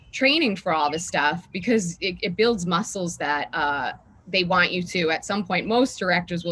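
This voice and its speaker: This woman has a bright, sharp tone and a fairly low pitch, with ordinary pitch variation. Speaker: actress. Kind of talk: interview. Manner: fast.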